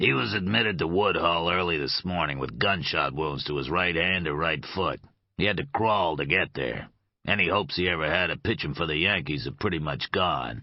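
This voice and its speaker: Rumbling and raspy, a man uses a put-on character voice at a very deep, low pitch and a moderate pace. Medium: read story. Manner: dry, sardonic.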